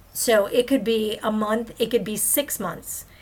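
A somewhat breathy woman's voice, fairly high in pitch, with fairly even intonation. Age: 50s. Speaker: podcast host. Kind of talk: personal monologue.

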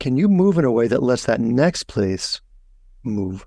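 Using lively intonation, a man speaks at a fairly slow pace. His tone is dark and mellow. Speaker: massage therapy educator. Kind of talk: casual expert conversation.

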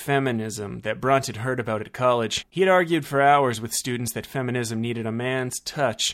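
The reading here comes in an unforced voice.

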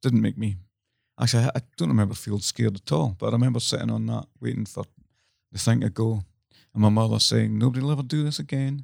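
This man has a Scottish accent and a fairly low pitch. He talks at a very fast pace with lively intonation. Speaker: podcast co-host. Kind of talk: casual chat.

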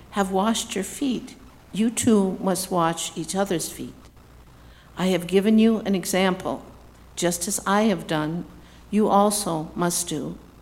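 Speaking at a fairly slow pace, a woman uses a plain, everyday voice with ordinary pitch variation. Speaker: scripture reader. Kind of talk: reading aloud.

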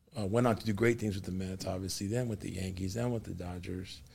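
Somewhat breathy, a man with an American accent talks at a fairly quick pace with ordinary pitch variation. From Los Angeles. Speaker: pastor and podcast host. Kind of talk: faith interview. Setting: studio. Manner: animated.

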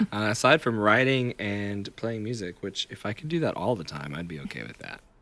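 A fairly low-pitched man with a Tennessee accent and lively intonation. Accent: US South, Tennessee. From Tennessee, Chattanooga. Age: 30s. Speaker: singer-songwriter. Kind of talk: casual interview chat. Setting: music practice space.

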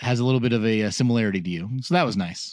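Against a quiet background, a man with an unremarkable speaking voice talks at a medium pitch with lively intonation. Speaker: podcast co-host. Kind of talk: casual podcast chat. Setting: lying in bed at home, laptop and microphone. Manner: joking, playful.

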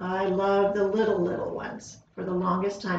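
A woman with an American accent speaks at a moderate pace and medium pitch, somewhat breathy, with audible room echo. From Southern California. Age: 60s. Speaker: school district administrator. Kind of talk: casual interview.

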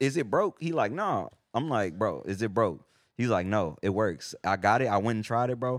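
Using a normal speaking voice, a man with an American accent speaks at a medium pitch and a moderate pace with lively intonation. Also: very clean recording, silent background. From Texas, San Antonio and Houston. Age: 20s. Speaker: rapper. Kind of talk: casual chat.

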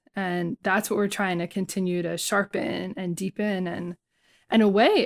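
A woman with an American accent speaks in an unremarkable speaking voice at a medium pitch, with ordinary pitch variation and a moderate pace, in a very clean recording with a silent background and a dry, close sound with no echo. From New Jersey, Bayonne. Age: 40s. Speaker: Buddhist scholar and social activist. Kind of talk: casual interview conversation.

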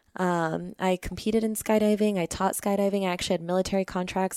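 In a dry, close recording with no echo and a very clean, silent background, a woman with a normal speaking voice talks at a fairly low pitch in an American accent. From Arizona, Phoenix area. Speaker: yoga instructor and skydiver. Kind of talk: interview conversation.

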